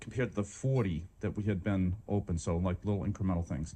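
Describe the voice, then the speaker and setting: A man speaks with a slight Boston accent and a dark, mellow tone. The background is quiet. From Boston, Massachusetts. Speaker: medical school dean. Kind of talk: leadership talk. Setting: stage with audience, walking around room. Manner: fast; animated.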